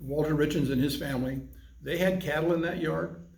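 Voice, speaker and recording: Audible room echo surrounds a man whose pitch shifts in an ordinary way. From Arizona. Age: 70s. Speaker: civic club president. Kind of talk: oral history interview. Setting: in-person interview.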